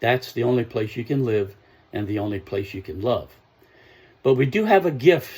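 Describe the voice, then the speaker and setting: With a dark, mellow tone and a somewhat breathy quality, a man speaks at a medium pitch and a moderate pace, his voice making very wide pitch swings. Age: 70s. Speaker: self-help speaker. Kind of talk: motivational talk.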